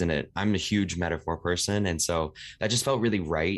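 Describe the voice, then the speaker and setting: This is a man speaking with an American accent. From Seattle, US. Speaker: singer-songwriter. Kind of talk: casual interview chat.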